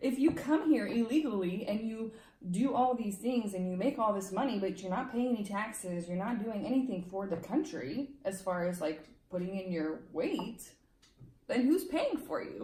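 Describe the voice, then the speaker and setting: With noticeable background noise and audible room echo, a woman speaks at a moderate pace in a fairly high pitch. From Romania, moved to US at eight. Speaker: legal immigrant interviewee. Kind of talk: casual interview.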